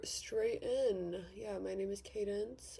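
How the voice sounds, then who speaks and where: In an American accent, a woman speaks very slowly, with audible room echo. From Australia, Victoria. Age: young. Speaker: beauty vlogger. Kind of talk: casual chat. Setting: bedroom vanity. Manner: casual, with fillers and repetitions.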